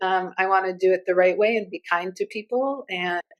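A woman's voice in a dry, close sound with no echo. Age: 40s. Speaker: agency CEO. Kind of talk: panel discussion. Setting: office, remote call.

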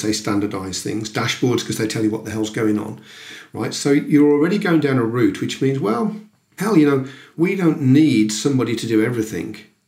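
This man speaks with a medium pitch and a somewhat breathy voice. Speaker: recruitment business consultant. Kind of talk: interview.

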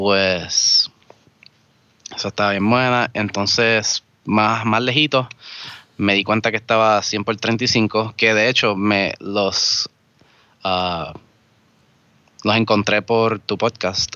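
A man's fairly low voice, very slow in pace, with fairly even intonation and long, frequent pauses. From Vega Alta, Puerto Rico. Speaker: bank worker and homebrewer. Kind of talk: casual chat.

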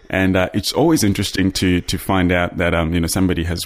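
Recorded very cleanly with a silent background, a man speaks at a fairly quick pace in a very deep, low pitch. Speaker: podcast host. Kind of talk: interview. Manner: enthusiastic.

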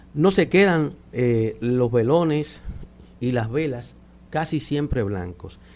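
A man talks at a very slow pace. His medium-pitched voice has lively intonation. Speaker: cultural manager. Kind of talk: radio interview. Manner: soft-spoken. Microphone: too far from the mic.

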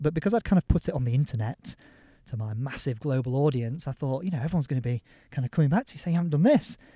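A man with a Yorkshire accent, medium pitch and a dark, mellow tone, at a very fast pace in a dry, close sound with no echo. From Yorkshire, northern England. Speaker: former lawyer turned mountain leader. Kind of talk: interview. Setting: outdoors on a hillside.

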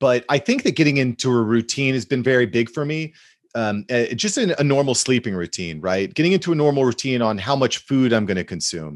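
In a normal speaking voice, a man talks at a medium pitch and a fairly quick pace with lively intonation against a quiet background. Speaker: social media content expert. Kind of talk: casual interview chat.

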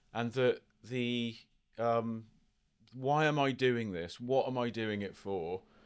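A man at a very slow pace, long and frequent pauses breaking up his speech, with ordinary pitch variation. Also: medium pitch for a man. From England. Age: 50s. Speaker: photographer. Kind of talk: casual interview chat. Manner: halting, many repetitions.

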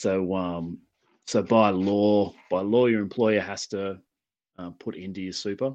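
This man has a fairly low pitch and an Australian accent. He speaks at a fairly slow pace with fairly even intonation and big swings in loudness. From New South Wales, Australia. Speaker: heavy equipment field technician. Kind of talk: casual chat. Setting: phone call.

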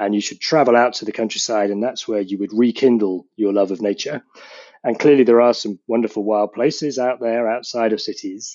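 With a British accent, a man speaks fairly quickly at a medium pitch and with fairly even intonation. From UK, between London and rural Scotland. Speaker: geography professor. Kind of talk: interview.

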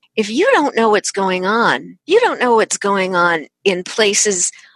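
With an American accent and lively intonation, this is an ordinary speaking voice, recorded dry and close with no echo against a quiet background. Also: woman. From Chicago. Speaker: author and keynote speaker. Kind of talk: interview.

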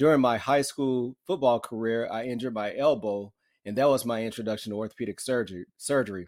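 A man's medium-pitched voice at a very fast clip, with ordinary pitch variation, on a very clean recording against a silent background. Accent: American. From US South, northern Alabama. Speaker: orthopedic surgeon. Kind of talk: interview.

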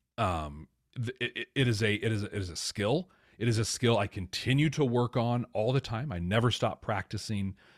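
An ordinary speaking voice from a man at medium pitch, ordinary pitch variation and moderate pace, in a very clean recording with a silent background and a dry, close sound with no echo. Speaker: podcast host and business manager. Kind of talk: casual interview chat.

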